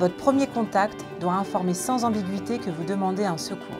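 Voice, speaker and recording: Music plays in the background while a woman talks. She has a medium pitch and a moderate pace. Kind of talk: instructional voice-over narration.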